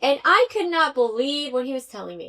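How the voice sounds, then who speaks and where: At a moderate pace, a woman with a slight Spanish accent speaks in a high voice. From Venezuela, Caracas. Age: 30s. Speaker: tech executive. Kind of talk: podcast interview.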